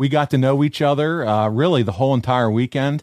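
A man's unremarkable speaking voice, medium in pitch, with ordinary pitch variation and a fairly quick pace, on a very clean recording with a silent background. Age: 40s. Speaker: podcast host. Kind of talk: casual chat; ad read. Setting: studio.

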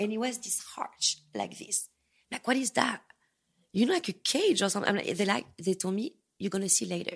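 Talking at a fairly quick pace with a French accent, a woman sounds animated. Her speech has long, frequent pauses. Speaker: escort. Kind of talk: casual interview chat. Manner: animated, expressive storyteller.

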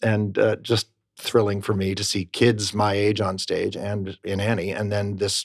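An American accent comes through on a very clean recording with a silent background and a dry, close sound with no echo. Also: man. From Rochester, New York, US. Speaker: Broadway actor. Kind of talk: interview. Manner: upbeat.

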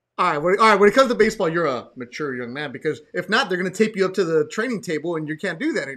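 A man with an American accent speaks at a very fast pace and high pitch, with lively intonation and hardly any pauses. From Los Angeles. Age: 40s. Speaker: podcast host. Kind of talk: casual chat. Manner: animated.

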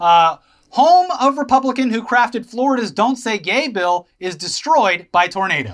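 A man talks in an extremely high voice at a moderate pace. His pitch swings very widely. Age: 30s. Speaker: podcast co-host. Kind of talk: casual chat.

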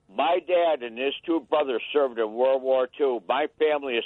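Animated and angry in tone, a man speaks at a fairly slow pace. His pitch is fairly high, with ordinary variation. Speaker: caller, war veteran. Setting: phone call. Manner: animated, angry.

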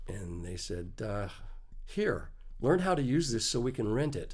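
Speaking with an American accent at a moderate pace, a man's somewhat breathy voice moves through very wide pitch swings amid audible room echo. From Texas, small town. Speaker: Steadicam operator. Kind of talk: casual interview. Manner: halting, many fillers.

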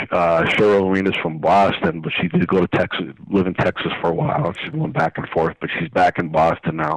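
Noticeable background noise sits behind a man with a very deep, low pitch. The sound is dry and close with no echo, and his pace is moderate. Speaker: blues harmonica showcase promoter. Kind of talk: radio interview, promoting event. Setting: phone call. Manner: enthusiastic, casual.

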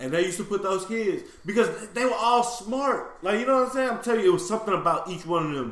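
Over noticeable background noise and audible room echo, a high-pitched man with an American accent rattles along at a very fast pace with lively intonation and hardly any pauses. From Houston, Texas. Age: 30s. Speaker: podcast co-host. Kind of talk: casual chat.

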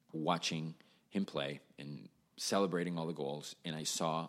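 Recorded very cleanly against a silent background, the speaker has a Spanish accent and a moderate pace. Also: man. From Venezuela, Caracas. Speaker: musician, drummer. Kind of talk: casual chat.

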